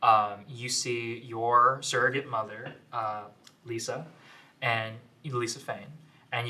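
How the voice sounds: Natural-sounding reading aloud.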